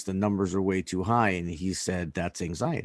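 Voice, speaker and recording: A man's fairly low voice with an American accent at a moderate pace, in a very clean recording with a silent background. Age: 40s. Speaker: baseball training facility owner and podcast host. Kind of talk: podcast conversation. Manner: halting, many fillers.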